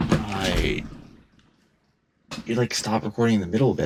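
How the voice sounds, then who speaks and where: A man's vocal fry at a fairly quick pace. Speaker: gaming commentary youtuber. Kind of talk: casual solo rant over gameplay. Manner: halting, hesitant. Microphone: poor quality mic.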